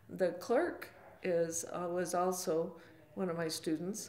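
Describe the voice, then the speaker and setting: A woman's voice comes through with light background noise and audible room echo. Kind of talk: interview answer. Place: office.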